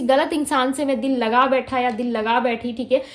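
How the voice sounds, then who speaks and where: At a moderate pace, a woman talks in a high voice with fairly even intonation. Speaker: tarot reader. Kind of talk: tarot reading to camera.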